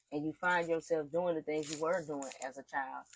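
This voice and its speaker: The speaker has a strong Southern US accent and talks at a fairly quick pace. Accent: heavy Southern country. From US South, rural eastern North Carolina. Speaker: spiritual teacher, occult instructor. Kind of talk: casual livestream talk. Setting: live stream. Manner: casual, conversational.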